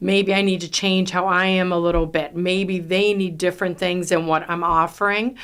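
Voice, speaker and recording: In a New York accent, a woman speaks at a fairly slow pace and medium pitch on a very clean recording with a silent background. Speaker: real estate team leader. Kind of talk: podcast interview. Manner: loud.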